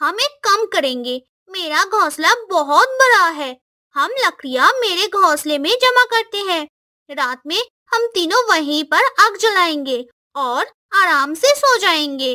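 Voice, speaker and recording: Someone uses a cartoonish character voice at a fairly slow pace. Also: female-sounding voice, extremely high pitch for a woman. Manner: bossy, scolding.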